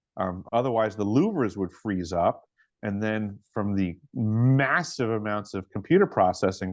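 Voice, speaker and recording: A man with a New York accent talks at a moderate pace, his fairly low pitch showing ordinary variation. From Long Island, New York. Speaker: former plumber and Navy submariner, whistleblower. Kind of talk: interview answer.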